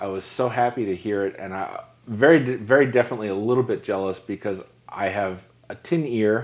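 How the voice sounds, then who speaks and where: A man with an American accent and a normal speaking voice, medium in pitch, at a fairly quick pace with ordinary pitch variation. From New York. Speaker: podcast host and photographer. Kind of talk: casual interview.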